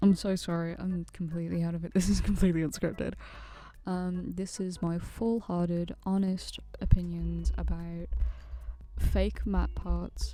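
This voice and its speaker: A soft-spoken woman at a moderate pace. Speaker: animator and YouTuber. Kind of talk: casual vlog commentary.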